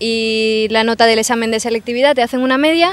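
A woman in an ordinary speaking voice, with fairly even intonation at a moderate pace. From Seville, Andalusia, Spain. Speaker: university journalism student. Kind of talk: street interview answers. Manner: casual, conversational.

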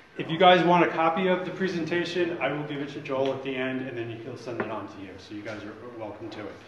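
Delivery is very fast with hardly any pauses, and both audible room echo and noticeable background noise are present. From grew up in New York, born in Dublin. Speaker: workshop mentor presenter. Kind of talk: workshop presentation. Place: meeting room. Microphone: camera far.

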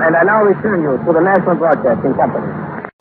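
Loud background noise sits under a man's voice. He talks very fast, and the sound is dry with no echo. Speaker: radio news correspondent reporting live from Munich. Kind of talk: live radio news report. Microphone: old recording.

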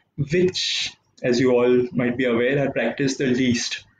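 A man speaks at a moderate pace, with audible room echo and light background noise around him. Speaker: tennis coach giving a talk. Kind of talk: motivational talk. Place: home room. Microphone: webcam.

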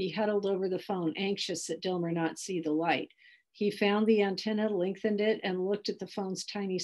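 The reading voice sounds natural, and the intonation stays fairly even.

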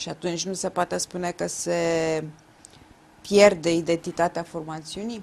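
A woman speaks in a fairly low pitch at a fairly slow pace, with monotone, flat intonation. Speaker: interviewer. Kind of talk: interview. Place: studio.

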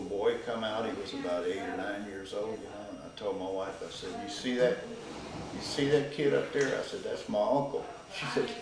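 Over light background noise and with audible room echo, a man talks at a moderate pace. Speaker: interviewee. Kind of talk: interview answer, storytelling. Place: office.

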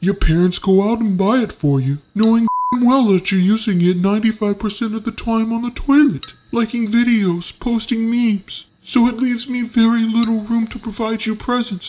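Sound effects play in the background as a man uses a put-on character voice with a high pitch. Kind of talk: comedic character monologue. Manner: sarcastic, ranting.

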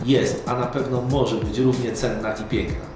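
Speech at a moderate pace carries audible room echo, with clear music playing in the background. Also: man. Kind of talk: motivational talk to camera. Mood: warm, earnest, smiling.

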